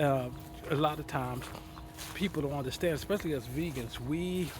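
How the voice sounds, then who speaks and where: Noticeable background noise accompanies a man who talks fairly quickly with fairly even intonation. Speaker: vlogger and broadcaster. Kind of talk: casual vlog monologue. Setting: outdoors in a garden. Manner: halting, with hesitations.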